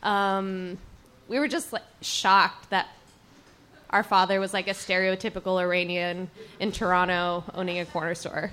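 In an American accent, a woman talks at medium pitch with a bright, sharp tone. Her intonation stays fairly even. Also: moderate pace. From Texas, Dallas. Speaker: audience member. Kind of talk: on-stage Q&A, casual. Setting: stage with audience at a bookstore. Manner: halting, many fillers.

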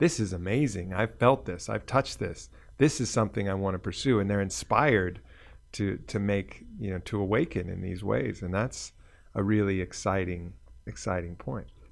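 A man speaks at a moderate pace with a fairly low pitch and vocal fry. The recording is very clean, with a silent background. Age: 50s. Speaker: podcast host. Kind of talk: casual chat.

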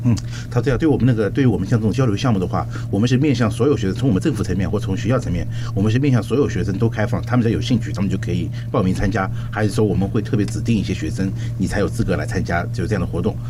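Very fast speech with fairly even intonation over music in the background. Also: man, fairly low pitch for a man. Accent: Chinese. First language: Mandarin Chinese. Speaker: cultural exchange program director. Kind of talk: radio interview. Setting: studio. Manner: halting.

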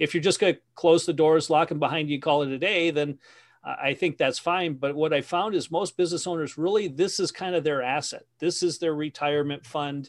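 A man's fairly high voice with an American accent, a plain, everyday voice, fairly even intonation and a fairly quick pace against a quiet background. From Wisconsin. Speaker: business coach and author. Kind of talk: interview conversation.

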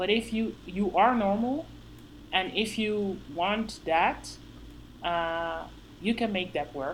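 A woman with a Dutch accent, at a very slow pace. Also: medium pitch for a woman, ordinary pitch variation. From Netherlands. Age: 30s. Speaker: powerlifter. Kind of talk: casual chat. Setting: video call. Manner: halting.

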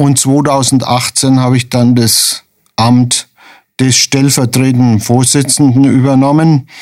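A man with a medium-pitched voice speaks very slowly in a monotone, flat delivery at a very even loudness. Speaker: retired hospital administrator, charity vice chairman. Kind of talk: radio interview.

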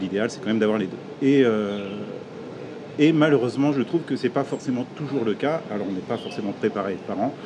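There's noticeable background noise as a man talks at a fairly quick pace. His pitch is medium with ordinary variation. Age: 40s. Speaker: entrepreneur, piercing shop owner. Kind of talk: podcast interview.

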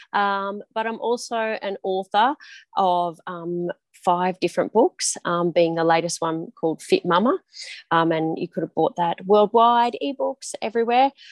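Over a quiet background, a speaker with an Australian accent talks at a fairly slow pace with ordinary pitch variation, the sound dry and close with no echo. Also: woman, medium pitch for a woman. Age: 40s. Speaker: high school health and PE teacher. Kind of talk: casual chat.

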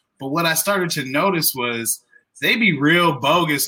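Heard here is an ordinary speaking voice, a man's. He goes at a fairly slow pace with ordinary pitch variation. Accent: American. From southern Illinois. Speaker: comedy promoter and venue manager. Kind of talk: casual chat.

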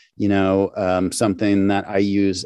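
With an ordinary speaking voice, a man talks at a moderate pace and fairly low pitch, recorded with a dry, close sound, no echo and a quiet background. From St. Louis, Missouri, US Midwest. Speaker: sound department manager. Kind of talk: interview.

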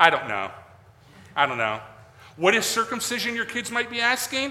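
A man projects a raised voice at an extremely high pitch, with lively intonation. He keeps a moderate pace, and the room echo is audible. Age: 40s. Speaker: pastor. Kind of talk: sermon. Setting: church. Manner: casual, halting with fillers.

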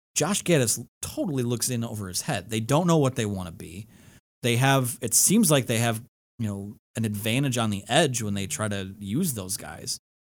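An unremarkable speaking voice from a man, medium in pitch, with lively intonation. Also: moderate pace. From Michigan. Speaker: sports podcast host and producer. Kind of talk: casual sports talk interview. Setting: studio.

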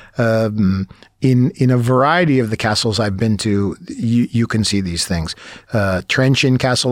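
A man with a New York accent, ordinary pitch variation, and a dry, close sound with no echo. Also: very even loudness. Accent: New York American. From New York City, Brooklyn. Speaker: language school owner and English teacher. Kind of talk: casual interview. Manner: hesitant with fillers.

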